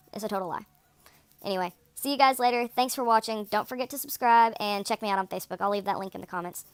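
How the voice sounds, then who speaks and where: A woman at fairly high pitch and a very fast pace, in a dry, close sound with no echo. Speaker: vlogger. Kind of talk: casual chat. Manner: monotone.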